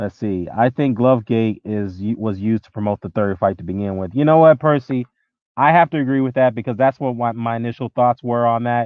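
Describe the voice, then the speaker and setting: In an ordinary speaking voice, a man talks at a fairly quick pace and medium pitch, showing ordinary pitch variation and big swings in loudness. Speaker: boxing commentator YouTuber. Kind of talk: live stream commentary reading chat. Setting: live stream. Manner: casual, conversational.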